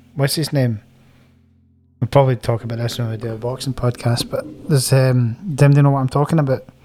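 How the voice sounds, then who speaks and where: A man with a Scottish accent talks at a very fast pace. His medium-pitched voice has a dark, mellow tone and is somewhat breathy. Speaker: wedding band musician, podcast co-host. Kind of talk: scripted narration; casual chat.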